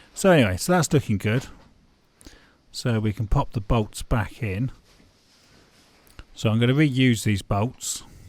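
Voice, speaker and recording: A man with a British accent, lively intonation, a fairly slow pace and long, frequent pauses. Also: medium pitch for a man. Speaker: amateur car DIY vlogger. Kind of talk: tutorial. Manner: casual, conversational.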